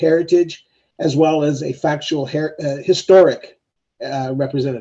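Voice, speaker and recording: A man with a Canadian accent, a dark, mellow tone and a moderate pace. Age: 60s. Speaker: member of the public speaking at a hearing. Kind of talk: public hearing statement. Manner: halting.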